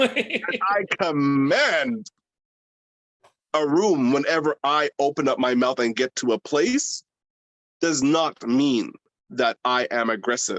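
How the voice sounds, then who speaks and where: A man's very slow, passionate delivery at a fairly high pitch, with lively intonation, long, frequent pauses and a dry, close sound with no echo. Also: very even loudness. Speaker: drag queen. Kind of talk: interview. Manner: loud.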